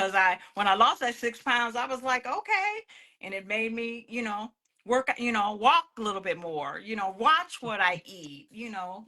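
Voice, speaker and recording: With an American accent, a woman speaks at a moderate pace in a fairly high, bright, sharp voice. Her intonation is lively and her loudness swings widely. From US Midwest, Illinois. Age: 60s. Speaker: guest entrepreneur. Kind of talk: podcast interview.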